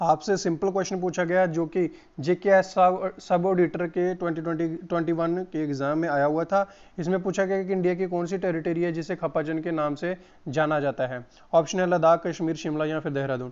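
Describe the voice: Fairly high in pitch with a slightly mellow tone, a man talks at a moderate pace with fairly even intonation.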